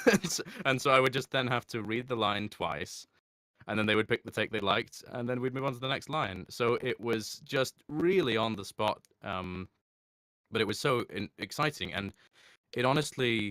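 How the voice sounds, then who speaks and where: On a very clean recording with a silent background and a dry, close sound with no echo, a man speaks at a medium pitch with ordinary pitch variation and a bright, sharp tone. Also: moderate pace. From Scotland, Edinburgh. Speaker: voice actor. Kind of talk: interview.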